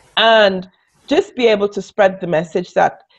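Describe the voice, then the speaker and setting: A woman speaks in a Caribbean accent. Her pace is fairly slow. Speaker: business coach. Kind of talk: interview.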